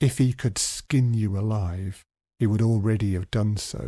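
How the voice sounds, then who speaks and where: In a gruff, put-on character voice, a man speaks with a fairly low pitch at a moderate pace. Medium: read story.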